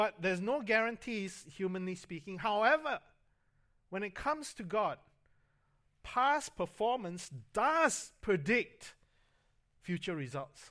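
A man's raised, projected, high-pitched voice with very wide pitch swings, a fairly slow pace and long, frequent pauses. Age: 50s. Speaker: pastor. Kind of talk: sermon. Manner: halting, frequent fillers and repetitions.

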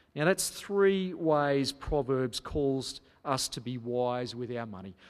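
Very wide pitch swings mark a man's speech in an Australian accent. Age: 30s. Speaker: pastor. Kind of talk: sermon.

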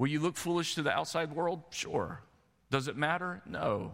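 A man at a fairly quick pace with vocal fry, on a very clean recording with a silent background. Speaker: pastor. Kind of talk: sermon. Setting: church.

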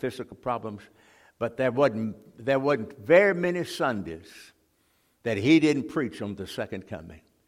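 On a very clean recording with a silent background, a man with a Mississippi accent talks at a moderate pace with lively intonation. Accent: Mississippi Southern US. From US South, Mississippi (Jackson). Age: 80s+. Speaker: retired Baptist pastor, guest preacher. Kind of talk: sermon. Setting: church. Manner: halting.

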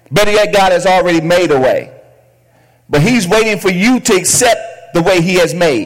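Over noticeable background noise, a man talks in an animated, warm tone at high pitch with ordinary pitch variation, very even loudness, and long, frequent pauses. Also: moderate pace. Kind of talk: sermon. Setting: church with congregation. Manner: animated call-and-response, urging the congregation to shout back; repeats key phrases for emphasis, warm and exhortative.

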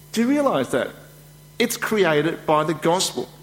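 Lively intonation colors a man's speech while noticeable noise runs in the background. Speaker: preacher. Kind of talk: sermon. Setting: church.

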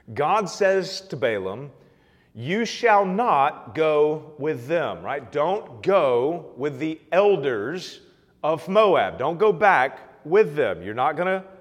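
A man speaks at a very slow pace with vocal fry. There is audible room echo. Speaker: pastor. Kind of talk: sermon. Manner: halting.

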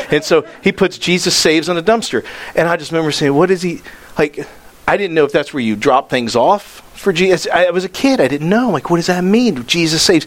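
A man talks very fast with a high pitch and lively intonation, noticeable background noise behind him. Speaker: pastor. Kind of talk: sermon. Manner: animated.

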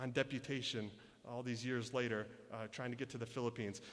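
Talking at a very fast pace, a man speaks in a medium pitch with a Michigan accent. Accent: Michigan American. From US Midwest, Michigan. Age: 30s. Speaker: missionary. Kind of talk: sermon. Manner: halting.

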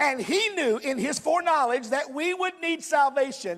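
Noticeable background noise fills the recording. Over it, a man speaks with lively intonation. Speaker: preacher. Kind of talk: sermon delivered live to a congregation, with scripture reading and closing prayer. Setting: church. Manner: earnest, fervent, direct, pastoral; emphatic, conversational, persuasive.

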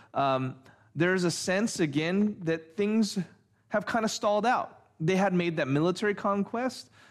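A man with a high pitch speaks at a moderate pace. The recording is very clean, with a silent background. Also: ordinary pitch variation, very even loudness. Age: 40s. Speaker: pastor. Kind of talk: sermon. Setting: church. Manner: halting.

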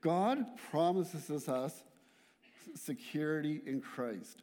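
A man's dark, mellow voice with a Canadian accent at a very slow pace, on a very clean recording with a silent background. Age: 40s. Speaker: church worker giving a guest sermon. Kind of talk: sermon. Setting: church.

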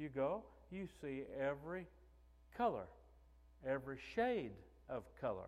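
Speaking in a southeast Missouri accent, a man with a fairly high pitch talks at a fairly slow pace, with very wide pitch swings and long, frequent pauses. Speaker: pastor. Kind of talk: sermon. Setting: church.

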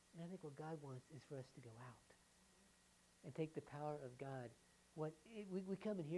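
In a Southern US accent, a woman speaks with a very deep, low pitch, a dark, mellow tone and ordinary pitch variation. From US South. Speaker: pastor. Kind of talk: sermon. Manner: halting.

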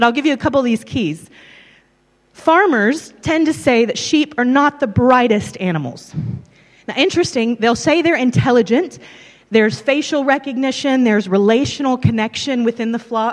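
With a strong Southern US accent, a woman speaks at a moderate pace in a high pitch with lively intonation. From US South, Tennessee and Texas. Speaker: preacher. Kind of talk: sermon.

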